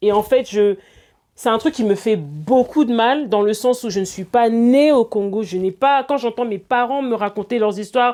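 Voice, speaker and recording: A woman's fairly slow speech comes over a quiet background. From France. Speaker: singer-songwriter. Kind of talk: interview. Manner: halting, with repetitions.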